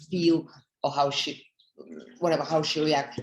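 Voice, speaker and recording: A woman with a Russian accent speaks at a very deep, low pitch. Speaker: network marketing leader. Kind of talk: motivational talk. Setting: conference call.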